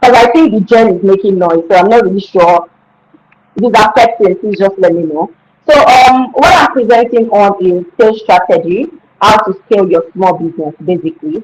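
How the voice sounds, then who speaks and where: A woman with a Nigerian accent speaks using lively intonation. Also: medium pitch for a woman. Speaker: skincare business founder. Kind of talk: webinar presentation. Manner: fast.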